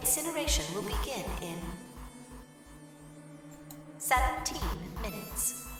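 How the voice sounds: Over faint music in the background, a woman does a put-on character voice, high-pitched with a fairly bright tone, big pitch swings and a slow pace.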